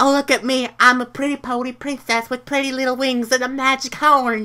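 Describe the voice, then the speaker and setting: A female-sounding voice does a put-on character voice at a high pitch. The delivery is fairly quick, with monotone, flat intonation. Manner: mocking, girly.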